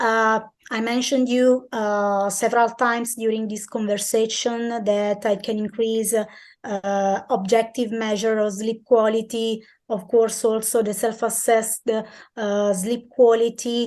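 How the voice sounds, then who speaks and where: Against a quiet background, a woman speaks fairly slowly at a fairly high pitch in a monotone, flat intonation. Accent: Italian. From Italy. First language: Italian. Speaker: sports science researcher. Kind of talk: interview answers. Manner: halting, many fillers.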